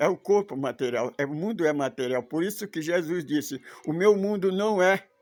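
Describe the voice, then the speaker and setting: Music plays in the background as a man talks at a moderate pace. His voice is fairly high in pitch, with lively intonation. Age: 80s+. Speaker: religious teacher. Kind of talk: religious study talk; complaint rant. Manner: halting.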